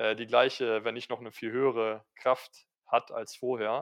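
Against a quiet background, a man with a medium-pitched voice talks at a moderate pace in a flat monotone. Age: 20s. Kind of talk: casual interview. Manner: hesitant, many fillers.

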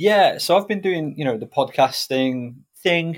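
A man with a North Welsh accent in a very clean recording with a silent background. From Wales. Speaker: basketball commentator and podcaster. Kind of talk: casual interview chat.

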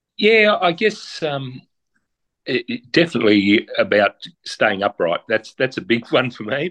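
In an Australian accent, a man with a fairly high voice speaks with very wide pitch swings. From Tasmania, Australia. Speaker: amateur ultra trail runner, senior administrator. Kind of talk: interview. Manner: halting.

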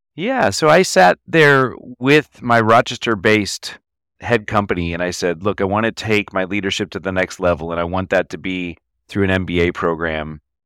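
A man with a fairly low pitch speaks at a moderate pace with ordinary pitch variation, a normal speaking voice, and a dry, close sound with no echo. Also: very clean recording, silent background. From Texas, Denton north of Dallas. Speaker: entrepreneur and CEO. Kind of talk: interview.

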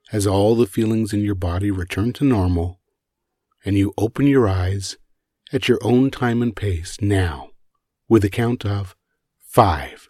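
Over a very clean recording with a silent background, a man talks in a gentle, soothing, dark and mellow tone, somewhat breathy and fairly low in pitch with ordinary variation, at a fairly slow pace with long, frequent pauses. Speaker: meditation guide. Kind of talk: guided meditation. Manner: slow, soothing, calm; gentle, hypnotic pacing.

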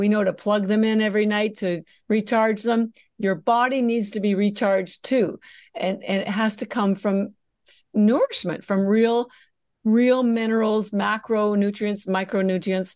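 A woman with an unremarkable speaking voice, fairly high in pitch, talks fairly slowly with fairly even intonation over a quiet background. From Canada. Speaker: health supplement entrepreneur. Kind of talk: podcast interview.

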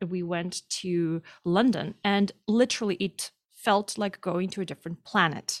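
At a fairly slow pace, a woman with a Russian accent speaks at medium pitch with ordinary pitch variation, on a very clean recording with a silent background and a dry, close sound with no echo. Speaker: activist. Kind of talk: interview. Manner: halting.

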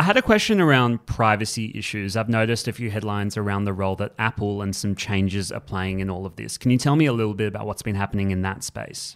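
A man with a fairly low voice speaks very fast, with hardly any pauses. The recording is very clean, with a silent background. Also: fairly even intonation. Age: 20s. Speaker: news podcast host. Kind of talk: news podcast.

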